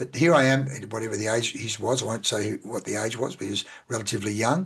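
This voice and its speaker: A man with an Australian accent, very fast and somewhat breathy, medium in pitch with ordinary pitch variation. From Australia, central Victoria. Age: 60s. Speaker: business coach. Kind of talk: podcast interview.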